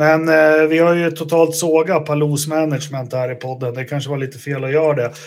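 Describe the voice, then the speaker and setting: The speaker goes at a fairly quick pace in a monotone, flat delivery with hardly any pauses. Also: man, fairly high pitch for a man. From Sweden, Västerås. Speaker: podcast host. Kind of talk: casual chat.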